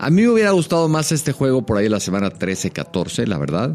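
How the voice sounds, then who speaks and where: A man with a Mexican accent at a fairly quick pace, with very wide pitch swings. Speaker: NFL podcast co-host and TV pundit. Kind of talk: casual chat.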